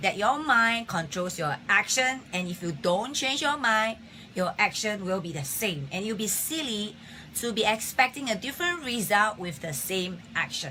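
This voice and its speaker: Over noticeable background noise, a woman's voice moves through very wide pitch swings. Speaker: health live-stream host. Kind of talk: live-stream talk. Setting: Facebook live stream.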